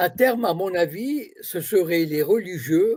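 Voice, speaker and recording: A man is speaking. He goes at a very slow pace. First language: Arabic (speaking French). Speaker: political commentator. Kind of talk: interview.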